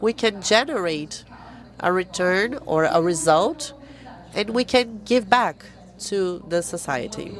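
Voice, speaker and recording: A woman's medium-pitched voice at a very slow pace, with lively intonation and noticeable background noise. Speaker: foundation representative, panelist. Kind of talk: panel talk.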